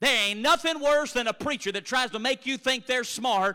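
Speaking at a moderate pace, a man uses a raised, projected voice that is high-pitched, bright and sharp, with lively intonation. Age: 30s. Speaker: preacher. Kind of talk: sermon.

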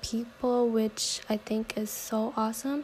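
Over noticeable background noise, a woman speaks in a fairly high, monotone voice with flat intonation. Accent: American. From San Diego, California. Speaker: university student. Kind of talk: class introduction video.

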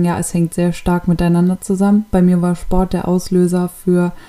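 This woman's voice is fairly low with a dark, mellow tone. She talks at a moderate pace. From Hannover, northern Germany. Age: 20s. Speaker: podcast host, fitness trainer. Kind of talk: monologue podcast intro.

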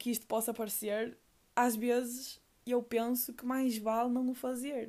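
In a European Portuguese accent, a woman speaks at a high pitch with a dark, mellow tone, monotone, flat intonation and a fairly slow pace, in a very clean recording with a silent background. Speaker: podcaster. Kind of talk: personal monologue.

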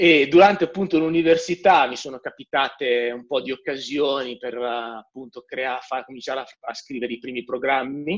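Speaking at a moderate pace with hardly any pauses, a man at medium pitch shows ordinary pitch variation and big swings in loudness. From northern Italy, Milan. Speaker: software developer. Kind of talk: interview. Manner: animated.

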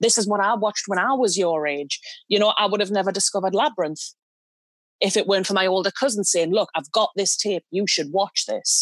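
In a Geordie accent, a woman speaks fairly quickly at medium pitch, with ordinary pitch variation and very even loudness. The sound is dry and close with no echo, on a very clean recording with a silent background. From northeast England, Newcastle. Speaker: movie podcast panelist. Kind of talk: casual chat.

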